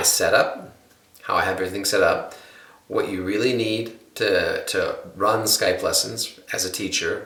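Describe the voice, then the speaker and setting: A man talks with an American accent. Noticeable background noise and audible room echo surround him. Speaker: guitar teacher. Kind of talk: tutorial.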